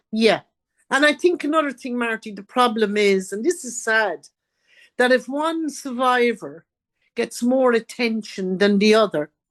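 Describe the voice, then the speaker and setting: Against a quiet background, a woman talks fairly slowly. Her fairly high voice has lively intonation. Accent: Irish. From Ireland, County Carlow. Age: 70s. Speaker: author and abuse survivor. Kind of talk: interview.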